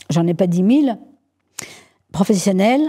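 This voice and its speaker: The woman's voice has a dark, mellow tone and is somewhat breathy. She speaks at a fairly slow pace. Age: 70s. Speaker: entrepreneur. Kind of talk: interview. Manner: halting, many repetitions.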